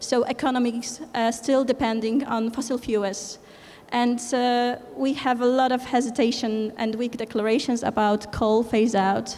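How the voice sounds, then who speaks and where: A woman's high, monotone, flat voice in a Polish accent, fairly slow and with very even loudness. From Poland. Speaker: conference speaker, environmental movement organizer. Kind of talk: conference presentation. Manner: halting, many fillers.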